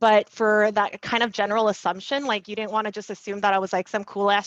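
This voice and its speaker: A woman talks at a very fast pace and medium pitch in an animated tone. Behind her, the background is quiet. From Korea, immigrated to US young. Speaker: tech professional. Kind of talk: panel discussion.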